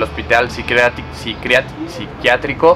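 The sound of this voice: This is a man speaking at a moderate pace. Background noise is clearly heard.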